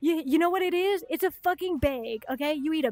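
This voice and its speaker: Extremely high in pitch, a woman speaks with a Chicago accent and lively intonation. Her moderate pace comes through in a dry, close sound with no echo. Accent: Chicago accent with slight Midwestern touches. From US Upper Midwest (Minnesota, South Dakota). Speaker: livestreamer. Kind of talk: casual livestream chat. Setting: home streaming setup in bedroom.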